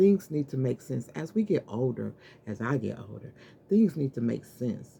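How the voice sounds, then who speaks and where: A woman with a very deep, low pitch and vocal fry talks at a fairly slow pace. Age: 60s. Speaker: vlogger, customer service representative. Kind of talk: casual vlog monologue. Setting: home office, on camera. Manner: rambling, halting.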